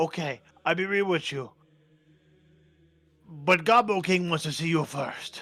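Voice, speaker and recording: Someone uses a put-on character voice at a moderate pace. Long, frequent pauses break up the speech. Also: man, high pitch for a man. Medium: actual play. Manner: broken grammar, simple speech.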